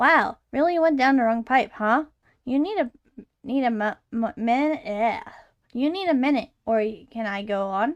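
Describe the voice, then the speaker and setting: Against a quiet background, a female-sounding voice puts on a character voice at a high pitch. The pace is fairly slow. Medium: virtual streamer. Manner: charming, well-spoken, ominous.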